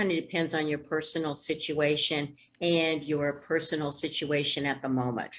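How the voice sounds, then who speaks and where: With an American accent, a woman speaks in a very deep, low pitch at a moderate pace, her intonation monotone and flat. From Indiana. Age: 60s. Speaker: speech therapist and financial professional. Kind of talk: interview. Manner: many filler ums.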